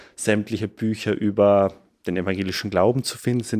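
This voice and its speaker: A man talks in a fairly low voice at a moderate pace. His intonation stays flat and monotone. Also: very clean recording, silent background. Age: 20s. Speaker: theology student. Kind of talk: personal testimony.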